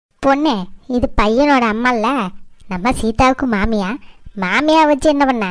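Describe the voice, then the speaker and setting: A cartoonish character voice, female-sounding and high-pitched, is heard here. It moves at a very slow pace. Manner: hesitant, questioning.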